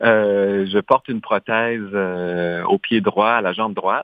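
An unremarkable speaking voice from a man, fairly low in pitch with fairly even intonation. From Saskatchewan, Canadian prairies. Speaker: dancer and choreographer. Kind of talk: radio interview.

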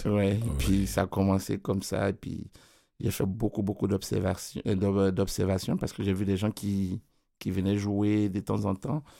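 A man with a plain, everyday voice and a fairly low pitch talks at a fairly slow pace with fairly even intonation, on a very clean recording with a silent background. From Ivory Coast. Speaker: keyboardist and music producer. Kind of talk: radio interview. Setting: studio.

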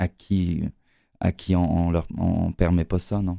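A man's very deep, low voice with a dark, mellow tone and monotone, flat intonation, in a dry, close sound with no echo and a very clean recording with a silent background. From Quebec, Lac-Saint-Jean. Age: 40s. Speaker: actor. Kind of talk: interview.

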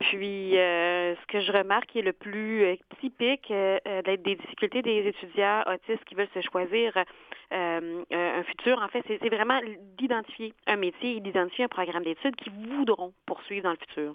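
A woman speaks in an ordinary speaking voice at a medium pitch, fairly slowly, with big swings in loudness and ordinary pitch variation. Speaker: career counselor. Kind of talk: expert interview.

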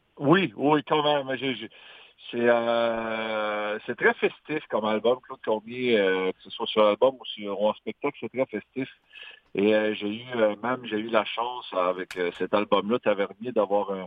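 This man speaks at a medium pitch, and his loudness swings widely. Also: ordinary pitch variation, fairly slow pace. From Magdalen Islands, Quebec. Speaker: singer-songwriter. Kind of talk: interview.

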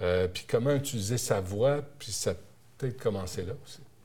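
A man speaks with a Quebec accent in a dark, mellow tone. His voice is somewhat breathy, with ordinary pitch variation. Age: 50s. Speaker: TV and radio journalist. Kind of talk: interview.

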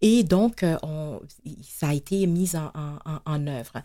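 Her tone is dark and mellow as this woman speaks at a very slow pace. The recording is very clean, with a silent background. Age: 50s. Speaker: nonprofit executive. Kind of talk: interview. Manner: halting.

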